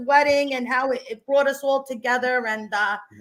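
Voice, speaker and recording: A woman's animated voice at a fairly quick pace, over noticeable background noise. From Argentina. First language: Spanish. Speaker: stage actress. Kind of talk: casual chat.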